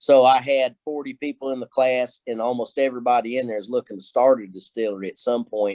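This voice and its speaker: Delivered very fast with hardly any pauses, the speech has a Kentucky accent, a dark, mellow tone, fairly even intonation, and a dry, close sound with no echo. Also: man, medium pitch for a man. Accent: Kentucky hillbilly. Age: 50s. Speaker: distiller and professor. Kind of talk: casual interview.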